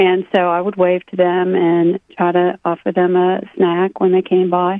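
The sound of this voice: A woman speaks at a moderate pace, her pitch fairly low, her intonation flat and monotone. The sound is dry and close, with no echo.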